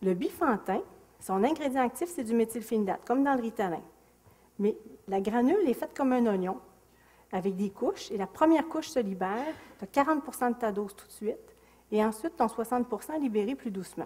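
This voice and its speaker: The voice is dark and mellow, in a Quebec accent, with lively intonation. Long, frequent pauses break up the speech. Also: woman, fairly high pitch for a woman, moderate pace. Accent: Québécois French. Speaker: psychiatrist. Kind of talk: lecture. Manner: animated.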